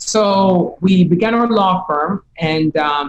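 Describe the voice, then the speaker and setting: A woman with a Jamaican accent. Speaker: business coach. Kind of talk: interview. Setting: podcast.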